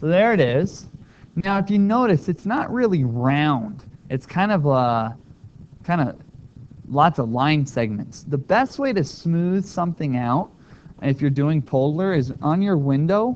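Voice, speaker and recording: Mumbling at a fairly slow pace, a man with a fairly high pitch lets his voice swing very widely up and down. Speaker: math teacher. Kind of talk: tutorial.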